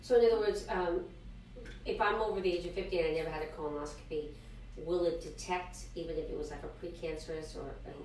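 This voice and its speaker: Speaking very fast but with long, frequent pauses, a woman is heard with audible room echo and light background noise. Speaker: health clinic show co-host. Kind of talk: interview. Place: studio. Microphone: camera far.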